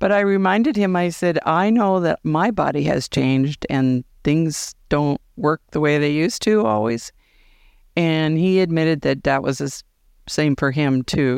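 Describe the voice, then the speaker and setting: With an American accent, a woman of very deep, low pitch talks at a fairly slow pace using lively intonation and very even loudness over a quiet background. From US West (Montana). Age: 70s. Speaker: listener sharing her dating story. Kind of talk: voicemail and casual interview.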